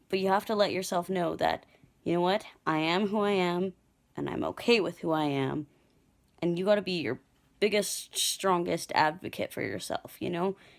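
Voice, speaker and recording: A woman talks at a moderate pace with fairly low pitch and ordinary pitch variation in a normal speaking voice. The recording is very clean, with a silent background. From Canada. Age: 20s. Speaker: video contributor. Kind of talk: personal affirmation message.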